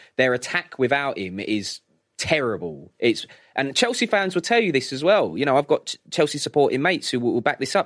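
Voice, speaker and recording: A man talks fairly quickly in a fairly high pitch with very wide pitch swings and vocal fry. The sound is dry and close, with no echo. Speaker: radio sports presenter. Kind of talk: casual chat.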